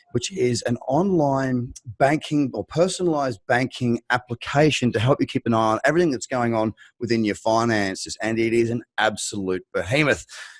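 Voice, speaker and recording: A man with an Australian accent and medium pitch talks at a moderate pace, the sound dry and close with no echo. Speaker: crypto podcast host. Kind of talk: podcast interview.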